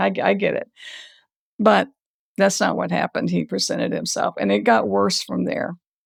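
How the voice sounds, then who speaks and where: A woman's voice with a dry, close sound and no echo, on a very clean recording with a silent background. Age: 50s. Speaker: author. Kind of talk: interview. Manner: animated.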